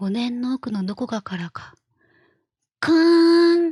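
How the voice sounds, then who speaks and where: A woman talks at a very slow pace in a high voice. Her pitch swings very widely. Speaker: virtual streamer. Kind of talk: bedtime story reading. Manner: whispered, soft, relaxed; slow, leisurely.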